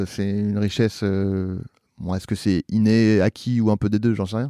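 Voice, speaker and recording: In a quiet background, a man with a fairly low pitch and a dark, mellow tone speaks at a fairly slow pace, the sound dry and close with no echo. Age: 40s. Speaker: actor, author and podcaster. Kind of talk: casual chat.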